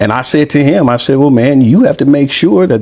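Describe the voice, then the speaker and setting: A man with an unremarkable speaking voice talks at medium pitch with lively intonation. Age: 40s. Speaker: podcast host. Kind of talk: casual interview conversation. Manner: casual, relaxed.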